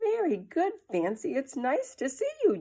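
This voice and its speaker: Very wide pitch swings run through this put-on character voice. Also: woman, high pitch for a woman, moderate pace. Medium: read story. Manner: kind, welcoming.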